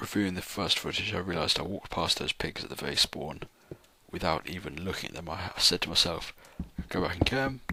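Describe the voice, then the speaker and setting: Someone whispers at a fairly quick pace in a British accent. Noticeable background noise can be heard. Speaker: gamer doing a let's play. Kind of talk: gameplay commentary. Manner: halting.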